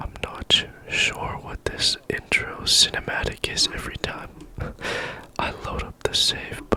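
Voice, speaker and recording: A man whispering at a fairly slow pace, with big swings in loudness and noticeable background noise. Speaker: ASMR gaming creator. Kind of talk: whispered ASMR gaming chat. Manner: whispered.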